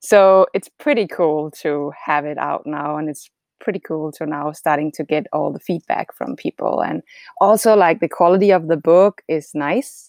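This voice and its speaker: A woman with a Danish accent talks at a moderate pace, her pitch very deep and low with ordinary variation. The sound is dry and close with no echo, over a quiet background. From Denmark. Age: 40s. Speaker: retired triathlete. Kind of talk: casual interview.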